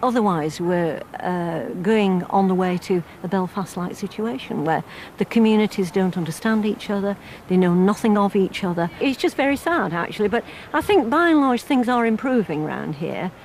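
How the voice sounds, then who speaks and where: This woman talks at a moderate pace with a medium pitch and lively intonation over noticeable background noise. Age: 60s. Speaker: member of parliament. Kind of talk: interview. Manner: halting.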